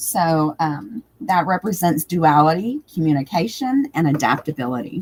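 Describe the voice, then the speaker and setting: Speaking at a moderate pace with hardly any pauses, a woman has a fairly low, somewhat breathy voice with very wide pitch swings. The sound is dry and close, with no echo. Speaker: tarot reader. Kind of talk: live stream tutorial talk.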